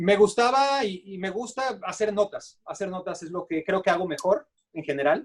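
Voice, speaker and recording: A man talks with ordinary pitch variation. His voice sounds dry and close, with no echo. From Mexico. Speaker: sports journalist. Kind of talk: interview. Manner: halting, many fillers.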